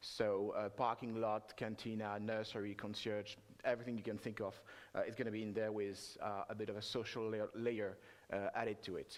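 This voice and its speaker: In a French accent, a man speaks at a moderate pace with a fairly low pitch. His intonation is monotone and flat. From France. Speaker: software developer, conference speaker. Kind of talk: conference talk. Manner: halting, many filler sounds.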